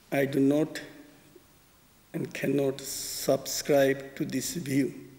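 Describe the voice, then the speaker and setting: Intonation is monotone and flat. The very slow delivery has long, frequent pauses. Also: man. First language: Bengali. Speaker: spiritual teacher. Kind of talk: poetry talk. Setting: concert hall.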